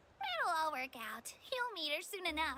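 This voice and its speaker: A squeaky, high-pitched put-on character voice, upbeat in tone, at a moderate pace over clear background noise. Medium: video game. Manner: friendly, upbeat.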